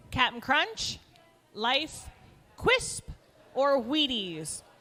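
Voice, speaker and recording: Over music in the background, a woman projects a raised, high-pitched voice at a very slow pace. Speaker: trivia co-host. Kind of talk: live trivia hosting at a brewery. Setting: brewery with live audience.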